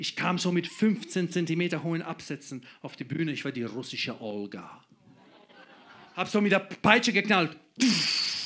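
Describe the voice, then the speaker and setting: A man speaks at a fairly slow pace in a high voice. His pitch swings very widely. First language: Croatian (speaking German). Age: 30s. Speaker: comedian. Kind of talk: stand-up. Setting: stage with audience. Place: stage. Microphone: handheld.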